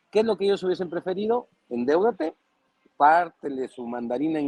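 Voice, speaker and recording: Speaking at a moderate pace in a Mexican accent, a man sounds animated, with lively intonation and a dry, close sound with no echo. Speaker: political commentator. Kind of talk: panel discussion.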